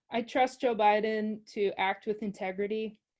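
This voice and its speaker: Against a quiet background, a woman with a fairly high pitch talks at a fairly slow pace in a monotone, flat way. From US Midwest, Michigan (Grand Rapids). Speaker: PhD student and climate advocate. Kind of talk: interview conversation. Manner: hesitant, many fillers and repeats.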